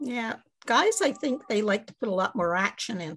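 A woman speaks at a moderate pace with a Montreal accent. Her voice is somewhat breathy, and her intonation is lively. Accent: Canadian English, Montreal. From Quebec, Montreal. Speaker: mystery author. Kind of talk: interview.

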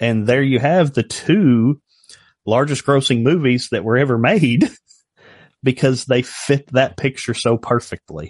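A man with a normal speaking voice and medium pitch talks at a moderate pace, recorded dry and close with no echo over a quiet background. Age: 40s. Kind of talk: casual chat.

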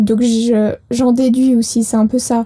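A woman speaks with a high pitch and a dark, mellow tone. Her intonation is monotone and flat. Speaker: apprentice hosting a company podcast. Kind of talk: casual chat.

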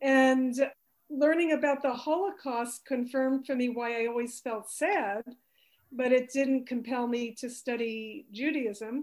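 In an American accent, a woman talks at a fairly slow pace with a high pitch and ordinary pitch variation. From US. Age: 60s. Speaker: energy healer and author. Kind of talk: interview.

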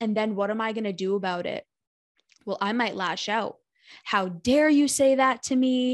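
A woman has a normal speaking voice, fairly high in pitch with ordinary pitch variation, recorded in a dry, close sound with no echo against a quiet background. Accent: American. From United States. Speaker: therapist and life coach. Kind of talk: interview, casual chat.

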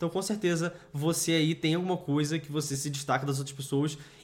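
A man is speaking. His pace is very fast. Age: 20s. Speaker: business co-founder and podcast co-host. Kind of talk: casual chat.

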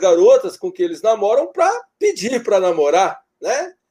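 Using very wide pitch swings, a man with a dark, mellow tone speaks at a fairly slow pace. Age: 40s. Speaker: university professor of leisure studies. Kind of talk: interview, explanatory lecture style.

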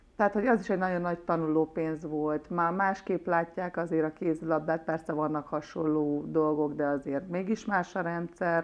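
With a normal speaking voice, a woman of fairly low pitch keeps a moderate pace and fairly even intonation, with hardly any pauses. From Hungary, Nagykanizsa. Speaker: former handball player. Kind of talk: interview.

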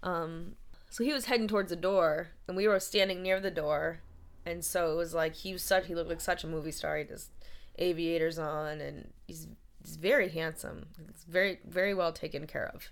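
A woman speaks at a fairly quick pace in a fairly low pitch, her loudness swinging widely while her intonation stays fairly even, with vocal fry throughout. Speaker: actress and writer. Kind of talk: casual chat. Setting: in person in Maine.

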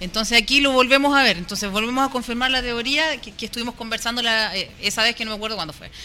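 Against music in the background, a woman with a fairly high voice rushes along at a very fast pace with hardly any pauses and ordinary pitch variation. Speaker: football commentator. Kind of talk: casual chat.

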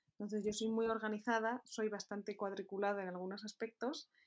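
Fairly high-pitched, a woman talks at a moderate pace in an unremarkable speaking voice. Her pitch varies in an ordinary way. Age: 20s. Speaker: entrepreneur. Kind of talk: interview.

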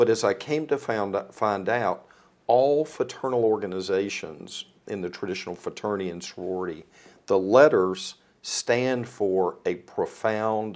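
With a Southern US accent, a man speaks fairly slowly in a fairly low voice with ordinary pitch variation. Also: very clean recording, silent background. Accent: US South. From North Carolina, Rockingham County (Eden). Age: 60s. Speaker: philanthropy advisor. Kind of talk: casual chat.

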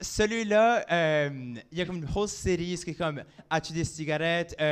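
A man with an Acadian accent at a fairly high pitch and fairly slow pace, ordinary in pitch variation, in a very clean recording over a silent background. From Acadia, New Brunswick. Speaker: drag queen. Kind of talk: casual chat. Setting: stage with audience.

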